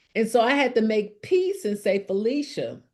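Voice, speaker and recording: A woman speaks with a Southern US accent, her pitch fairly high. She talks at a fairly slow pace in a dark, mellow tone. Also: quiet background. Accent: southern drawl. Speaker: speaker sharing personal story.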